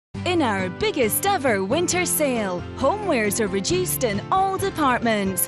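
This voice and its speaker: Over background music, a woman with a fairly high pitch talks at a moderate pace with very wide pitch swings, very even loudness and hardly any pauses. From Scotland. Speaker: voice actor. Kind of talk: TV commercial read.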